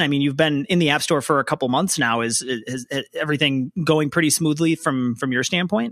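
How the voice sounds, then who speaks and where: A man with an American accent and a fairly high, bright, sharp voice talks at a moderate pace with ordinary pitch variation, recorded in a dry, close sound with no echo. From Minnesota, Richfield. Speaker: podcast host. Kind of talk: interview.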